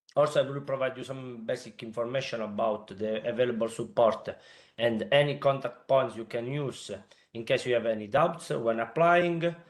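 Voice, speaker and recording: In an Italian accent, the speaker goes at a moderate pace with ordinary pitch variation. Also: man, medium pitch for a man. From Italy. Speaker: consultant presenting a funding call. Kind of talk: webinar presentation. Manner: hesitant, many filler sounds.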